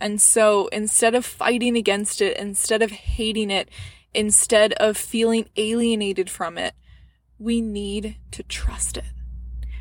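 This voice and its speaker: Speaking at a fairly slow pace, a woman with a warm tone and fairly high pitch keeps her intonation monotone and flat. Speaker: women's health podcaster. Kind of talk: gentle motivational pep talk, addressed intimately to listener. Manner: warm, reassuring, affectionate, with soft laughs; earnest and encouraging, building to heartfelt emphatic cheering.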